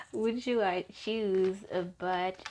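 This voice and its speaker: A woman is speaking. She talks with a non-native accent. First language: not English. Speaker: tarot reader. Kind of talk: tarot card reading. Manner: casual, halting at times.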